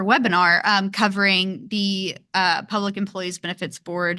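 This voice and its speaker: With a Kentucky accent, a woman speaks at a moderate pace in a bright, sharp tone against a quiet background. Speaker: podcast host. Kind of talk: podcast interview.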